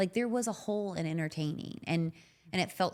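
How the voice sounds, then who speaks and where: On a very clean recording with a silent background, a woman's speech moves at a moderate pace. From Kentucky (Louisville). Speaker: chef and TV cook. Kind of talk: casual interview chat. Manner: animated.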